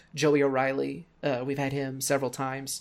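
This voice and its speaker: The voice carries an American accent on a very clean recording with a silent background. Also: man. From Missouri, US Midwest. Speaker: wrestling commentator and podcaster. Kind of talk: casual chat.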